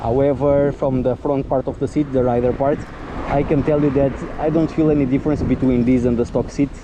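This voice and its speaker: A man's fairly high, flat, monotone voice at a fairly quick pace, over noticeable background noise. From Portugal. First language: Portuguese. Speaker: motorcycle vlogger. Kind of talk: casual vlog review. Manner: halting, hesitant.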